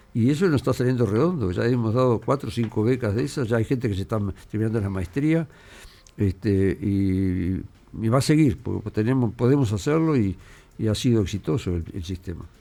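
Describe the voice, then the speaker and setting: Fairly quick and full of lively intonation, a man with a Uruguayan accent speaks at medium pitch in a dark, mellow tone. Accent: Rioplatense Spanish (Uruguayan). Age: 70s. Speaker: mathematician, former university rector. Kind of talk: radio interview. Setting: radio studio. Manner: halting.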